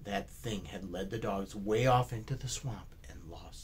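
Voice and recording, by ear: The words are read aloud in a natural voice, with pitch moving in an ordinary way.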